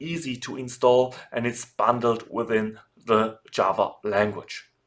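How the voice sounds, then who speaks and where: Speaking fairly slowly, a man talks with a German accent. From Germany. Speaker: software developer and online course instructor. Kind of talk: tutorial. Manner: formal.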